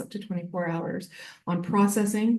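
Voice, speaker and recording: A woman speaks at a fairly quick pace and a medium pitch, her tone dark and mellow. Her intonation stays fairly even, and room echo is audible. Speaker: library consortium staff presenter. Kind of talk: conference presentation. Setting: conference room with audience. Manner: fast.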